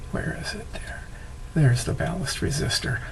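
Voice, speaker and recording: This is a man speaking. Background noise is noticeable behind him. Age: 70s. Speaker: classic car enthusiast. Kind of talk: casual talk to camera.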